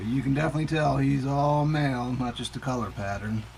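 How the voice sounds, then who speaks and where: A man with a medium-pitched voice talks fairly quickly as noticeable noise plays in the background. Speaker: reptile keeper giving a tour. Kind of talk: casual video tour. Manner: hesitant, many fillers.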